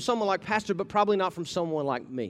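At a very fast pace, a man talks with a high pitch. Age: 30s. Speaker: lay preacher, bank manager and youth ministry leader. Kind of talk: sermon. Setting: church.

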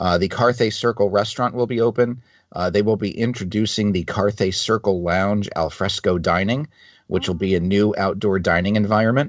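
An ordinary speaking voice: a man at a fairly low pitch, moving at a fairly quick pace with fairly even intonation and very even loudness. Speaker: podcast co-host. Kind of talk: casual chat.

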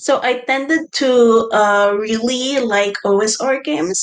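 A woman talks with a fairly high pitch and ordinary pitch variation in a normal speaking voice. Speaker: game designer guest.

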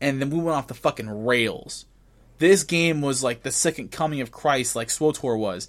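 Using an unremarkable speaking voice, a man talks at a moderate pace with lively intonation. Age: 20s. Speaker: gaming podcast host. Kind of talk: casual chat. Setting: video call.

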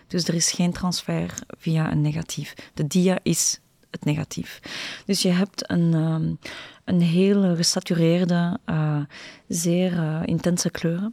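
Speaking very slowly, a woman uses a fairly low pitch and a dark, mellow tone, her intonation fairly even in a dry, close sound with no echo. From Brussels, Belgium. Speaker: visual artist. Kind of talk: interview. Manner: halting, many repetitions and fillers.

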